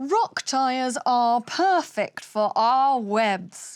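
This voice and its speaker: A put-on character voice, female-sounding and high in pitch. The delivery is very slow. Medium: read story.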